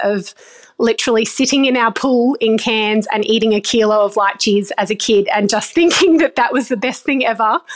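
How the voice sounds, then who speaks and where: Fairly high in pitch with ordinary pitch variation, a woman speaks in an Australian accent. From Australia, far North Queensland. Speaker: vegetable farmer. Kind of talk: interview. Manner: hesitant with frequent fillers.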